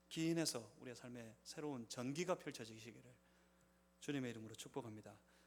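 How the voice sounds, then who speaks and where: Audible room echo surrounds a man's medium-pitched voice. He keeps a moderate pace with ordinary pitch variation. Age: 50s. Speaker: pastor. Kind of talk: sermon. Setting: church.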